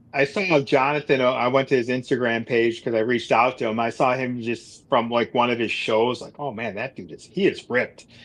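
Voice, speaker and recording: An unremarkable speaking voice from a man with an American accent, medium pitch, fairly even intonation, a fairly quick pace, hardly any pauses and big swings in loudness. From Buffalo, New York. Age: 40s. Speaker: carnivore diet youtuber. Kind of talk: casual chat.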